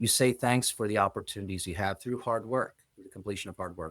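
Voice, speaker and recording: Recorded very cleanly against a silent background, with a dry, close sound and no echo, a man uses an ordinary speaking voice at a fairly low pitch with ordinary pitch variation. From US, child of Polish immigrants. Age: 40s. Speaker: business executive. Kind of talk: interview conversation.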